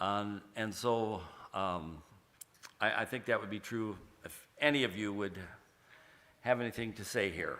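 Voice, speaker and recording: A bright, sharp tone at a fairly slow pace. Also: man. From Oregon, US. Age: 70s. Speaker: church member. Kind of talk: testimony. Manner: halting.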